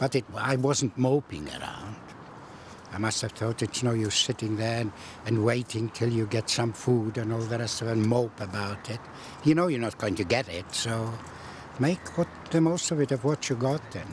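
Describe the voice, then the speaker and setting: Noticeable background noise behind a man at moderate pace and medium pitch, with ordinary pitch variation. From Poland. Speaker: Holocaust survivor. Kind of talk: interview.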